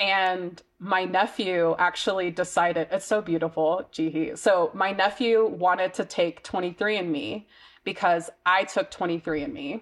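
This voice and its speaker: Against a quiet background, a woman with an American accent and a plain, everyday voice talks at a fairly slow pace with hardly any pauses, medium pitch and ordinary pitch variation. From US South (Mississippi). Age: 20s. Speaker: marketing and communications specialist. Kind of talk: interview, personal testimony.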